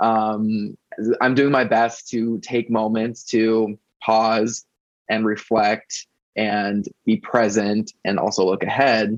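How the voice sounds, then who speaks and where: Over a quiet background, a man speaks very slowly at a medium pitch with monotone, flat intonation and very even loudness, the sound dry and close with no echo. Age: 30s. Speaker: website founder and pop music blogger. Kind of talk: podcast interview.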